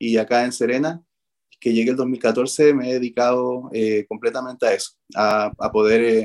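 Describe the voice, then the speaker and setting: With monotone, flat intonation, a man of medium pitch talks at a moderate pace. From Chile, Arica. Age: 30s. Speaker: dancer. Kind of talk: radio interview. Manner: halting.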